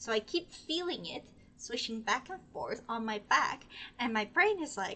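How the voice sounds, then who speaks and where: Speaking at a fairly slow pace, a woman uses a fairly high pitch and very wide pitch swings in a bright, sharp tone. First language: not English. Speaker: VTuber streamer. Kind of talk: casual chat. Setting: live stream. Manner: animated.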